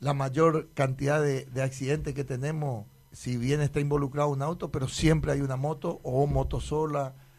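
Somewhat breathy, a man talks with a fairly high pitch. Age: 50s. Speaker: municipal traffic director. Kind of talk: radio interview. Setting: radio studio. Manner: halting, many repetitions.

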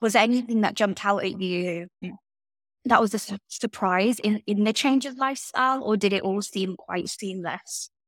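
A woman speaks at a medium pitch in an ordinary speaking voice, with ordinary pitch variation. The sound is dry and close with no echo, on a very clean recording with a silent background. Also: moderate pace. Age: 20s. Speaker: podcast host. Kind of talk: casual chat.

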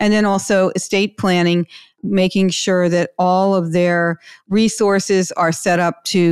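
An unremarkable speaking voice moves at a moderate pace. The recording is very clean with a silent background, and the sound is dry and close with no echo. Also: woman. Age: 60s. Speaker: podcast host, financial advisor. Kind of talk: interview chat.

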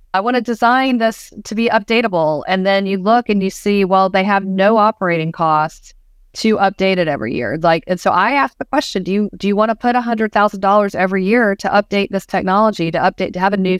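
Talking very fast with hardly any pauses, a woman with an American accent and a medium-pitched voice shows ordinary pitch variation on a very clean, dry, close recording with no echo and a silent background. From US South, Georgia. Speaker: museum planning consultant. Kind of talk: interview.

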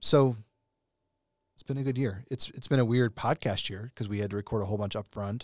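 At a fairly quick pace, a man speaks in a plain, everyday voice at medium pitch, with big swings in loudness. The sound is dry and close with no echo, in a very clean recording with a silent background. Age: 30s. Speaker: podcast host in young adult and college ministry. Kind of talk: casual chat.

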